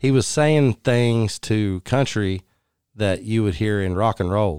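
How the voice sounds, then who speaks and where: A man's fairly low voice with a Texan accent, fairly slow, with ordinary pitch variation, in a very clean, dry, close recording with a silent background and no echo. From West Texas (Odessa). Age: 40s. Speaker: country musician. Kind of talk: casual chat. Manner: animated.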